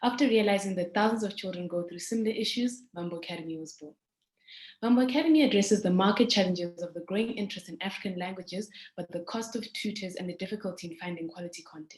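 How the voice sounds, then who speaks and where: Speaking very fast at a medium pitch, a woman sounds somewhat breathy, with ordinary pitch variation and big swings in loudness. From South Africa (moved from Zimbabwe at seven). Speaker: startup founder. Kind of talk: pitch presentation.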